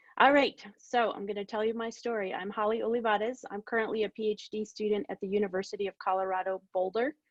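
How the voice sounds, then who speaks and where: The intonation stays fairly even. The pace is very fast. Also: woman, fairly high pitch for a woman, hardly any pauses. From New Mexico, Albuquerque (North Valley). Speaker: PhD student, oceanographer. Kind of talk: talk to online audience, personal story. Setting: video call. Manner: casual, with many fillers.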